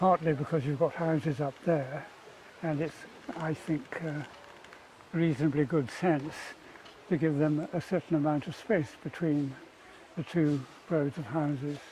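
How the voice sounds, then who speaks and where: With a British accent, a man talks at a fairly slow pace in a fairly high pitch, fairly even in intonation, with long, frequent pauses and noticeable background noise. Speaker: architect. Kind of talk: casual chat.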